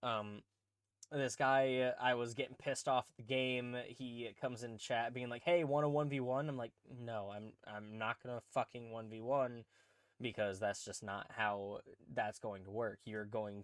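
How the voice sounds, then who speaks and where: A man with a plain, everyday voice talks at a fairly slow pace and medium pitch, with ordinary pitch variation, big swings in loudness, and a dry, close sound with no echo. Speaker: podcast host and streamer. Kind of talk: casual chat. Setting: podcast recording with cohost.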